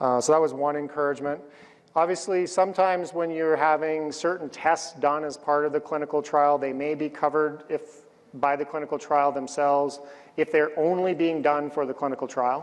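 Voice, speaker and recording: At a fairly quick pace, the speaker uses a monotone, flat intonation with a Canadian accent. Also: man, fairly high pitch for a man. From Canada. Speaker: cancer researcher. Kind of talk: conference talk and panel Q&A.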